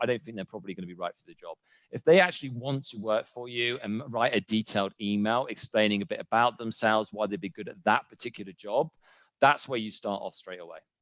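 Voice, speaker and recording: Very fast and with a British accent, a man speaks in a dry, close recording with no echo. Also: big swings in loudness. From UK. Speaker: real estate agent. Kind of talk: interview.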